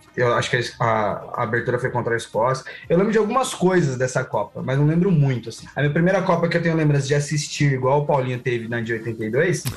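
A man's very fast, lively speech in a fairly high pitch, with music in the background. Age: 30s. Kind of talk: casual chat.

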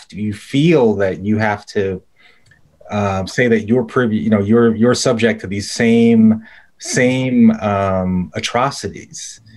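A man has an unremarkable speaking voice. His medium pitch rises and falls in an ordinary way. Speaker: podcast host, think tank fellow. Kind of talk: interview hosting.

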